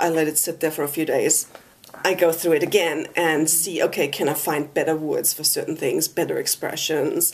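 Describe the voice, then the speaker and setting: A woman speaks at a moderate pace with a slight German accent. Noticeable background noise runs underneath. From Germany. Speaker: author. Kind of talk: interview. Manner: hesitant, many fillers.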